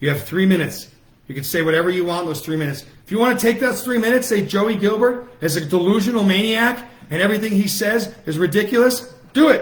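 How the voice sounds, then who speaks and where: A loud man with a high voice at a very fast pace, audible room echo around him. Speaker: political activist. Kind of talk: livestream rally speech. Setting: Facebook Live broadcast. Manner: animated.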